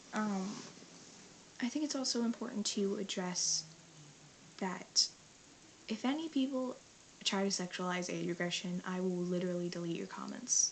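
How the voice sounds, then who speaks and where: A woman with a medium pitch, lively intonation and long, frequent pauses, over noticeable background noise. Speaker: vlogger. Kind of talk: casual vlog monologue. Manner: fast.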